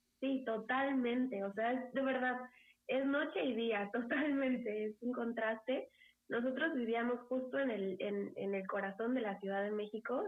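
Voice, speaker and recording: A woman speaks fairly slowly in an unremarkable speaking voice, pitched fairly high. Her pitch varies in an ordinary way and her loudness stays very even. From Mexico City. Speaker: engineer's wife, pet owner who emigrated. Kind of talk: casual interview.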